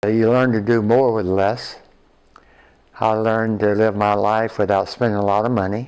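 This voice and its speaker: With an American accent, a man speaks in a fairly low pitch with monotone, flat intonation. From US South, rural north Florida. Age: 70s. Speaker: retired coach. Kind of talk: life story interview.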